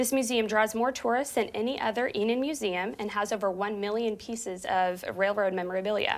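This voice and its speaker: A woman speaks at a moderate pace, her pitch varying in an ordinary way. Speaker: TV host. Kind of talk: news-style event announcements. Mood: bright, upbeat. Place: studio. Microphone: lapel.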